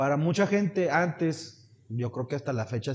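Somewhat breathy, a man speaks at a moderate pace in a fairly high pitch. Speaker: podcast co-host. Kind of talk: casual chat.

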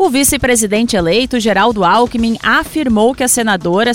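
Over music in the background, a woman with a fairly high voice speaks at a moderate pace with ordinary pitch variation. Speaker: radio journalist news presenter. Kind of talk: news reading. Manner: formal, steady, brisk newsreader delivery.

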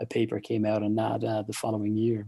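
A man speaks with an Irish accent at a fairly quick pace. His voice is fairly low in pitch, dark and mellow in tone, and monotone and flat in intonation. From Ireland. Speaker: psychology professor. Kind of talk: interview. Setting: video call.

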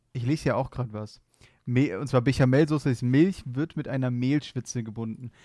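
In a very clean recording with a silent background, a man speaks at a fairly quick pace with a dark, mellow tone and medium pitch. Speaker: podcast co-host. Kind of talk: casual chat. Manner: monotone.

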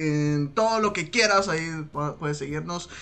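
Ordinary pitch variation marks speech that moves at a very slow pace. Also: man. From Mexico, Sinaloa. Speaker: podcast host. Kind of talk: casual chat. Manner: laughs often.

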